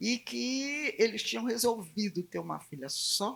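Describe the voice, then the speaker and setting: A woman speaking at a very slow pace. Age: 80s+. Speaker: philosophy professor and samba researcher. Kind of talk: panel talk.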